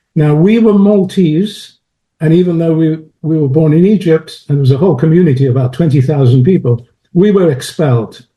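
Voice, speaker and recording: A man with a British accent talks at a fairly quick pace and a fairly high pitch. His loudness stays very even, with ordinary pitch variation. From London, England. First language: French. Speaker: chemist and philosopher of science. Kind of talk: interview.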